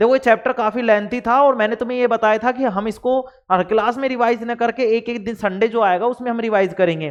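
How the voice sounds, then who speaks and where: At a moderate pace with hardly any pauses, a man speaks at an extremely high pitch. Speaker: online science teacher. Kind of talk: lecture. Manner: animated.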